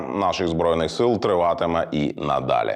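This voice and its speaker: A man talks at a fairly slow pace with lively intonation. His voice has vocal fry. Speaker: news show host. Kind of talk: TV news program presenting. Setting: studio.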